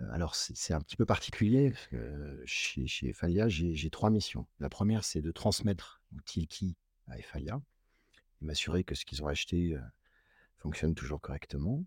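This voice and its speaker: A man speaks at a moderate pace in a very deep, low voice with vocal fry and lively intonation, recorded very cleanly against a silent background with a dry, close sound and no echo. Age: 40s. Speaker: company sustainability executive and engineer. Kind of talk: interview.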